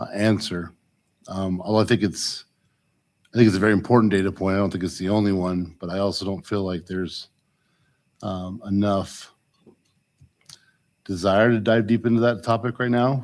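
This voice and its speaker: Soft-spoken and fairly low in pitch, a man talks at a moderate pace with fairly even intonation and long, frequent pauses. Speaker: school board member. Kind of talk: board meeting discussion. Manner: halting.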